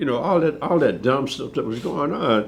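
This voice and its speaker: Vocal fry runs through this man's fairly high-pitched voice. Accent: American. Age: 70s. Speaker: war veteran. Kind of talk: interview testimony. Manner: animated.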